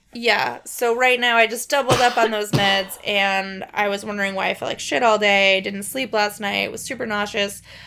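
The speaker has an American accent and talks at a moderate pace with hardly any pauses and ordinary pitch variation. Music plays in the background. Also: woman, medium pitch for a woman. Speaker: podcast co-host. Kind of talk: casual chat. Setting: in a bed, home recording.

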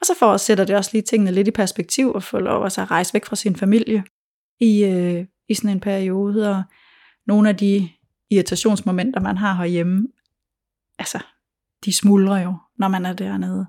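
Very clean and free of background sound, the recording carries a woman's dark, mellow tone at a medium pitch. She keeps a moderate pace and a monotone, flat intonation, with long, frequent pauses. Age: 40s. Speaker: food blogger and cookbook author. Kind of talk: interview.

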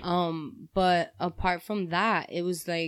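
In a New York accent, a woman talks with a fairly low pitch over a very clean recording with a silent background. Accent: New York City. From New York City, Spanish Harlem. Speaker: podcast guest, friend of host. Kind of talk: casual chat.

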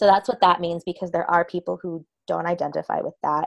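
In an American accent, a woman with a fairly low pitch and an ordinary speaking voice talks at a fairly quick pace with fairly even intonation, in a dry, close sound with no echo. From US East Coast. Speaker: podcast host. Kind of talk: casual chat.

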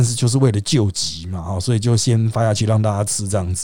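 Over a very clean recording with a silent background, a man with a Taiwanese accent speaks at a fairly quick pace. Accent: Taiwanese Mandarin. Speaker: political commentary podcast host. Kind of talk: solo commentary monologue.

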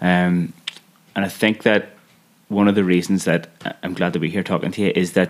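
A man speaks in a Belfast accent. His very deep, low voice has monotone, flat intonation. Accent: Belfast Northern Irish. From Northern Ireland, West Belfast. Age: 30s. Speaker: podcast host. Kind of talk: interview conversation.

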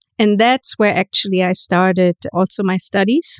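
A woman with a German accent, dry and close with no echo. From Germany, itinerant childhood in theater towns. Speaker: photographer. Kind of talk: interview conversation.

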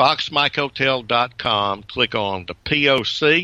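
Bright and sharp in tone, a man with a Southern US accent speaks with lively intonation. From US South, Georgia. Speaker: retired professor, ham radio operator. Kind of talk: interview.

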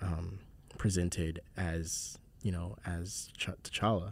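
A man with an American accent speaks in a very deep, low, somewhat breathy voice. His intonation is monotone and flat, on a very clean recording with a silent background. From South Carolina, Charleston. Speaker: podcast host, writer and voice actor. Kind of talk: casual chat.

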